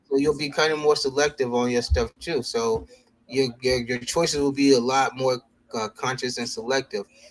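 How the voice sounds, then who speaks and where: A man's unremarkable speaking voice, medium in pitch, at a moderate pace with fairly even intonation. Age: middle-aged. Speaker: sneaker show co-host. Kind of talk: casual chat.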